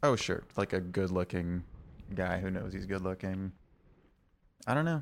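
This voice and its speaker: On a very clean recording with a silent background, a man speaks quietly at a moderate pace, his very deep, low pitch showing ordinary variation. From Texas (Austin). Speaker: podcast co-host. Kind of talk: casual chat. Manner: quiet, subdued.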